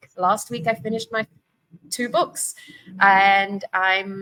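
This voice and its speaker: Someone with a South African accent speaks in a bright, sharp tone. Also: woman, dry, close sound with no echo. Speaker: divorce coach. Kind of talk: casual chat.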